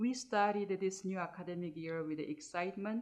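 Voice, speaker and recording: A woman's calm tone with ordinary pitch variation. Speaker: academic dean leading a guided meditation. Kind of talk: guided meditation. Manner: slow, calm.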